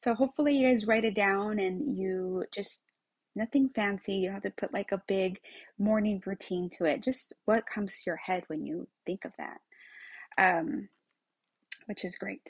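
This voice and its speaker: A somewhat breathy woman's voice comes through dry and close with no echo, over a quiet background. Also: medium pitch for a woman, ordinary pitch variation, moderate pace. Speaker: podcast host, retail executive. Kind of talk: casual monologue. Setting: home room.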